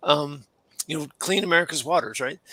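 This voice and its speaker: With a normal speaking voice, a man talks at a fairly high pitch and keeps his intonation fairly even. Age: 60s. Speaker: career coach and retired Air Force colonel. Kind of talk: casual interview.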